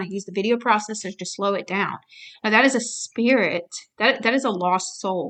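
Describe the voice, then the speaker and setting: Bright and sharp in tone, a woman speaks at a fairly high pitch with ordinary pitch variation. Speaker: personal testimony vlogger. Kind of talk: personal testimony. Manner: stuttering, halting.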